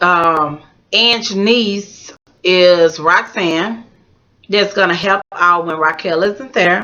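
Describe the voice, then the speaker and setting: A woman at a very slow pace, medium pitch and ordinary pitch variation. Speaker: YouTube vlogger. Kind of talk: casual reality TV commentary. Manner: animated.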